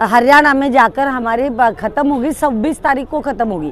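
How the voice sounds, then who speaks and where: Here a woman speaks at a high pitch. Her pitch variation is ordinary. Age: 70s. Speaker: retired mathematics professor, cyclist. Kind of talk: interview. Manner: halting.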